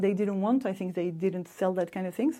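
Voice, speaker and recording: A woman with a French accent has a dark, mellow tone and ordinary pitch variation. The recording is very clean, with a silent background. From France. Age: 50s. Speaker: expat interviewee. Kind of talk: interview storytelling.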